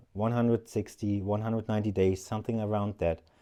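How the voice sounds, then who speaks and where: Fairly quick speech from a man, dark and mellow in tone, fairly low in pitch and fairly even in intonation, against a quiet background. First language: not English (third language). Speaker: outdoor gear reviewer. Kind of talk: product review. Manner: hesitant, with filler words.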